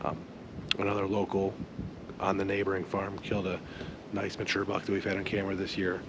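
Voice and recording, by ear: Clear background noise runs behind a low-pitched man. He speaks at a fairly quick pace in a monotone, flat intonation.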